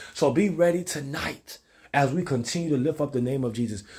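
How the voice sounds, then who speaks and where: With an animated tone, a man talks at a fairly quick pace with ordinary pitch variation. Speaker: preacher. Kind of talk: sermon. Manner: rhythmic, exhortational, call-and-response cadence. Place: kitchen. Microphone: phone near.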